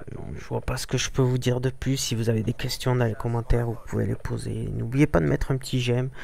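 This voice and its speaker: Somewhat breathy, a man speaks at a fairly quick pace with a medium pitch. His intonation is monotone and flat. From southern France, Toulouse. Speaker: gaming youtuber. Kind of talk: gameplay commentary. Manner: halting, many hesitations.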